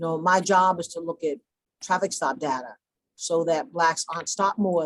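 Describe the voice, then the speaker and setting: Delivery comes at a moderate pace. It is spoken with an American accent. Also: woman. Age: 60s. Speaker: deputy police commissioner. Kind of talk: panel discussion.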